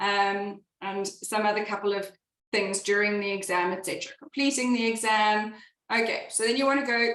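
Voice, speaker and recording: A woman talks at a moderate pace. Her pitch variation is ordinary, in an unremarkable speaking voice. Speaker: exam tutor. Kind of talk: webinar tutorial.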